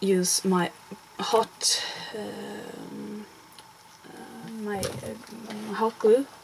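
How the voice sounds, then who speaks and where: Speaking at a very slow pace with long, frequent pauses, a woman's voice rises and falls sharply in loudness over noticeable background noise. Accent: Swedish. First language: Swedish. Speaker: crafter. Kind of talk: tutorial. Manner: halting. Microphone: poor sound.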